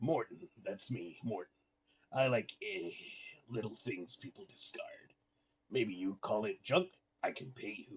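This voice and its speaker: Using a raspy, put-on character voice at medium pitch, a man speaks at a fairly slow pace with long, frequent pauses and big swings in loudness. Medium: game stream. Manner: broken English, hesitant "eh", sly.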